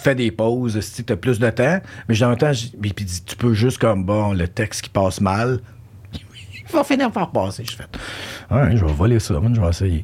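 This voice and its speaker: A man with a normal speaking voice and a fairly low pitch talks at a fairly slow pace, with ordinary pitch variation. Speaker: podcast host. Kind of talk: casual interview chat. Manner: code-switching French and English.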